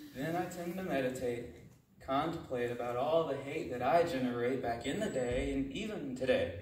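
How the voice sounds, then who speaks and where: At a moderate pace, a man with a fairly high pitch and ordinary pitch variation speaks amid light background noise and audible room echo. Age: 20s. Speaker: spoken word poet. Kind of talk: spoken word poetry performance. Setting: live audience at a retreat. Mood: earnest, reflective. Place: hall.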